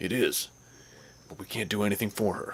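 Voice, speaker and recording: A man puts on a raspy character voice with a fairly low pitch. He talks at a fairly quick pace. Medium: game stream. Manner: heavy, resigned.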